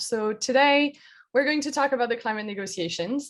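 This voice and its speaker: A woman speaks in a French accent at a fairly quick pace with ordinary pitch variation. The recording is very clean, with a silent background. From France. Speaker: climate researcher. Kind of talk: educational presentation.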